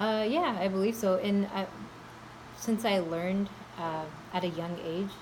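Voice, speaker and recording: A woman of medium pitch speaks at a fairly slow pace with fairly even intonation, over noticeable background noise. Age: adult. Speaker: school staff member. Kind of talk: interview. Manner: halting.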